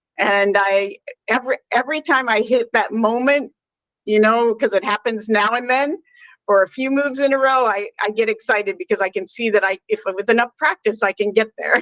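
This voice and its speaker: A woman talks at a moderate pace in an unremarkable speaking voice, pitched fairly high with ordinary variation. The sound is dry and close, with no echo. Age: 60s. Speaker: pediatric nurse. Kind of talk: casual interview chat.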